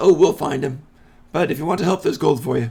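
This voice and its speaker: A raspy, fairly high-pitched put-on character voice from a man at a very fast pace. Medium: actual play. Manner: sly, sing-song.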